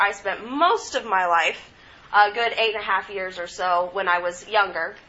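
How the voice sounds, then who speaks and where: A woman talks in an ordinary speaking voice. Her pitch varies in an ordinary way. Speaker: student presenter. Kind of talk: student presentation.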